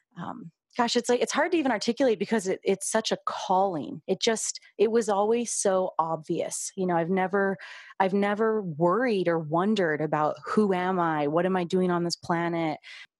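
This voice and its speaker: The recording is very clean with a silent background and a dry, close sound with no echo. A woman speaks in a plain, everyday voice at a medium pitch and moderate pace, with ordinary pitch variation. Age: 30s. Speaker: podcast host and birth worker. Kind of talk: interview, casual chat.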